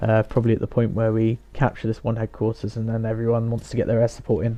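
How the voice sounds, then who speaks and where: A man speaks very fast with a British accent at a medium pitch. His tone is dark and mellow. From UK. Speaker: gaming YouTuber. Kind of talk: gameplay commentary. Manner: quiet, hesitant.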